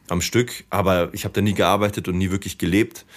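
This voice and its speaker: On a very clean recording with a silent background, a man with a plain, everyday voice talks at a moderate pace in a fairly low pitch. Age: 30s. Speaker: DJ, poet and activist. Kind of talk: casual chat. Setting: studio.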